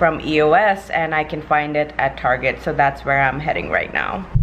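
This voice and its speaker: Over light background noise, a woman speaks at a very deep, low pitch with fairly even intonation. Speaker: vlogger. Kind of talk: casual vlog chat. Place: home room.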